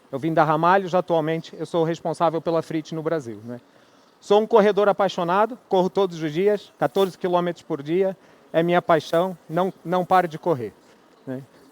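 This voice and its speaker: A man with a high-pitched voice speaks at a moderate pace with ordinary pitch variation. The recording is very clean, dry and close, with no echo and a silent background. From Brazil, Rio de Janeiro. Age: 40s. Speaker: equipment company manager, conference speaker. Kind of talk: conference talk. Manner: conversational, filler-heavy (né, é).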